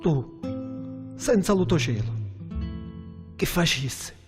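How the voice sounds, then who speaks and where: Music plays in the background as this man talks very slowly. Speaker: poet. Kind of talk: poetry reading.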